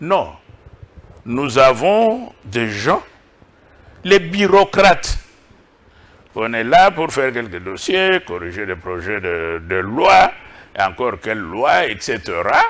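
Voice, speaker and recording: A man speaks at a very slow pace with long, frequent pauses and big swings in loudness. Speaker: professor and think-tank director. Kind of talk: TV interview. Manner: deliberately slow.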